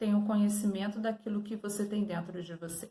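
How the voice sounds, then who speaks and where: A woman speaks at a moderate pace and medium pitch with ordinary pitch variation, in an unremarkable speaking voice. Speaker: art teacher. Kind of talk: lesson review for students.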